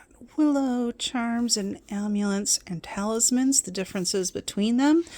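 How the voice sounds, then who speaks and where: A woman's dark, mellow tone, fairly high in pitch, at a moderate pace with lively intonation. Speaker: witchcraft content creator. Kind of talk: casual show-and-tell walkthrough. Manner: quiet, soft-spoken; unscripted, with fillers and hesitations.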